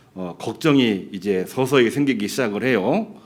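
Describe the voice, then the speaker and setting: The man's medium-pitched voice comes at a fairly slow pace, with audible room echo around it. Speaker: pastor. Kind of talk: sermon.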